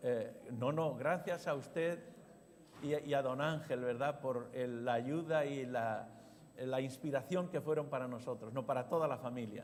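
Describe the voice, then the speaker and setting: The speaking pace is fairly slow. Room echo can be heard, and the pitch varies in an ordinary way. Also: man. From Spain, Zaragoza. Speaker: pastor. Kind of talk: sermon.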